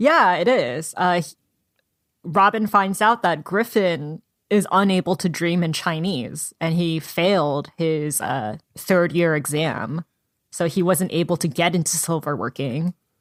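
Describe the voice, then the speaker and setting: On a very clean recording with a silent background, a woman with an ordinary speaking voice talks at a fairly slow pace and fairly low pitch, using ordinary pitch variation. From US (Korean American, moved from Seoul at age three). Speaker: book podcast co-host. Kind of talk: casual book discussion.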